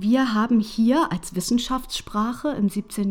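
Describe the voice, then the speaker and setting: A woman talks very slowly in a somewhat breathy voice. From Hanover, northern Germany. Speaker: podcast host, researcher and science communicator. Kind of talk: interview conversation.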